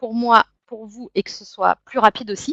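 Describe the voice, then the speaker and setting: The woman's intonation is fairly even and her pace fairly slow. The sound is dry and close with no echo. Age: 30s. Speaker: network marketing distributor. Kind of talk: sales pitch. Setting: web conference.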